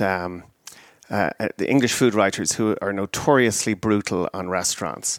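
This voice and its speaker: Against a silent background on a very clean recording, a man speaks with an Irish accent and ordinary pitch variation. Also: dry, close sound with no echo. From Ireland. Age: 50s. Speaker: wine sales manager. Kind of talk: casual interview.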